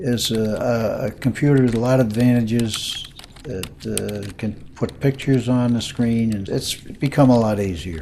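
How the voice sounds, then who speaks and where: With an American accent, a man speaks at medium pitch and a moderate pace, with ordinary pitch variation. Noticeable background noise runs behind him. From New Jersey. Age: 80s+. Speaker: retired model aircraft hobbyist. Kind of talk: personal life story interview. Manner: halting, many fillers.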